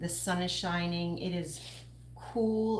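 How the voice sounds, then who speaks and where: A woman with a Long Island accent, fairly low in pitch and somewhat breathy, at a very slow pace with fairly even intonation and audible room echo. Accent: Long Island New York. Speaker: craft tutor and small business owner. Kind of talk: live-stream craft tutorial. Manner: casual, chatty.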